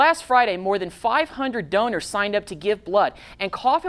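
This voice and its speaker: With an American accent, a woman speaks at a moderate pace in a normal speaking voice, her intonation lively. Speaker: TV news anchor. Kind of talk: local TV news anchor read. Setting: TV newsroom studio.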